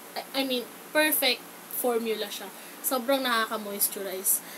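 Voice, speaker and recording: Over noticeable background noise, a woman speaks loudly at a high pitch with ordinary pitch variation. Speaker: beauty vlogger. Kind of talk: makeup tutorial. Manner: casual, chatty.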